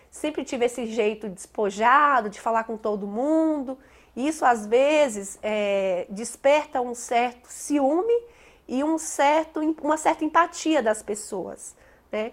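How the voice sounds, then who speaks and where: At a very slow pace, the speaker talks with a northeastern Brazilian accent. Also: woman, high pitch for a woman. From Brazilian Northeast, Bahia–Minas border. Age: 30s. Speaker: teacher. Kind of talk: interview testimony.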